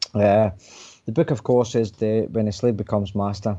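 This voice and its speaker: A man's fairly low, dark, mellow voice with a Glaswegian accent and fairly even intonation. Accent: Glaswegian Scottish. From Scotland, Coatbridge near Glasgow. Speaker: author. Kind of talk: radio interview.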